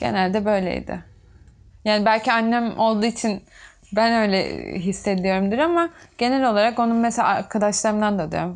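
A woman at a moderate pace with ordinary pitch variation and long, frequent pauses. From Turkey, Çanakkale (Bayramiç); Turkey. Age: 20s. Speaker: tailor; interviewee. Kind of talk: documentary interview. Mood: reflective, somewhat emotional. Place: workshop.

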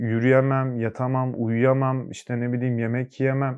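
A man speaks very slowly, the background around him quiet. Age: 20s. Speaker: recovering addict. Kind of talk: testimony. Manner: hesitant, many filler sounds.

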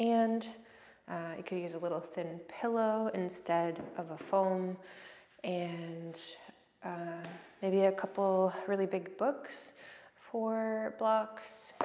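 A woman speaks at a very slow pace with long, frequent pauses. Her tone is dark and mellow. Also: ordinary pitch variation. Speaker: yoga instructor. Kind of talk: class instruction. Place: empty room. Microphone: camera far.

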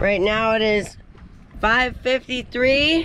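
Over noticeable background noise, a woman speaks at a very slow pace with a dry sound that has no echo. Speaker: sailing vlogger. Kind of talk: casual vlog chat. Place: boat. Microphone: phone near.

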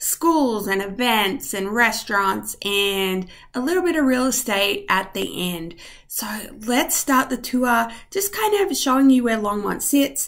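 In a quiet background, a woman speaks with lively intonation. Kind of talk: tutorial. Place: home room. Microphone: webcam.

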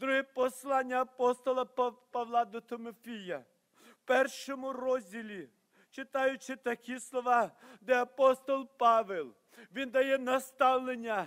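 A man speaks with an extremely high pitch and fairly even intonation. His pace is very slow, against a quiet background. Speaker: preacher. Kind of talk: sermon. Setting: church. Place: church. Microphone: podium.

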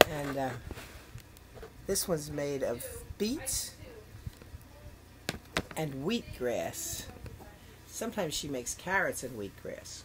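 A woman speaks at a very slow pace, leaving long, frequent pauses. Loud background noise fills the recording. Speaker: leukemia patient. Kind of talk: casual talk to camera. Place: home room. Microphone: webcam.

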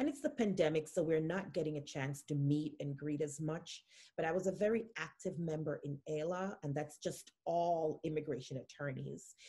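At a moderate pace with hardly any pauses, a woman speaks in a somewhat breathy, very deep, low voice with a dark, mellow tone and ordinary pitch variation. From Jamaica. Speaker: immigration attorney. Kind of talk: interview.

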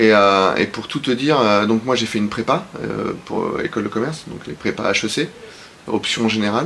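Light background noise sits behind this man. He talks at a moderate pace, his pitch varying in an ordinary way. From southern France, Aix-en-Provence; Provence, France. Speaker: business executive; interview guest. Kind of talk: interview. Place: studio.

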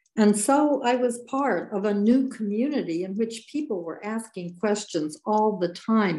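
A woman with a dark, mellow tone speaks at a fairly slow pace with lively intonation and hardly any pauses, against a quiet background. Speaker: former mayor and state legislator; former mayor. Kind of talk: panel discussion. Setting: video call. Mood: reflective, warm. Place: home room. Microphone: webcam.

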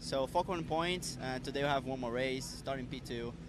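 Noticeable background noise accompanies a man speaking at a moderate pace, in a dry sound with no echo. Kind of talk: interview answer. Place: street. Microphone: handheld.

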